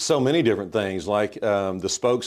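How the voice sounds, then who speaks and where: Against a quiet background, a speaker with a Mississippi accent talks at a fairly quick pace. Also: man. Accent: Mississippi Southern US. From US South, Mississippi (Southaven). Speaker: mayor. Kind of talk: interview.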